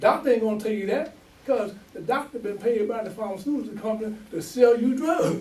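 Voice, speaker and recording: Against noticeable background noise and audible room echo, a man talks at a fairly quick pace in a high voice. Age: 70s. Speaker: imam. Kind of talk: sermon. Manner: animated.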